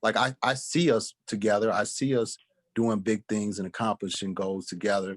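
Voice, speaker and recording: A man in a normal speaking voice, fairly low pitch with ordinary pitch variation, moderate pace, dry, close sound with no echo and a quiet background. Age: 40s. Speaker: podcast co-host. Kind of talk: casual chat.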